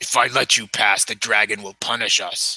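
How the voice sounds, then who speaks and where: A put-on character voice growls and rumbles. It moves at a moderate pace. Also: man. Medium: actual play. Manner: stern, commanding.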